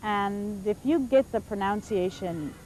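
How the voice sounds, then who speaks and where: Her tone is dark and mellow, at medium pitch for a woman. She talks at a fairly slow pace with lively intonation. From born in Oregon, US, with Basque parents; moved at 12 to a Spanish-speaking country. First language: Basque. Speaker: English teacher. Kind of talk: reflective interview about teaching. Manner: halting, with frequent repetitions.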